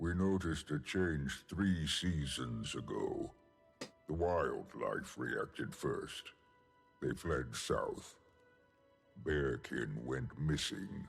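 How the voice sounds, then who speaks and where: With faint music in the background, a man uses a put-on character voice with a very deep, low pitch and a very slow pace. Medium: video game. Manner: measured, solemn.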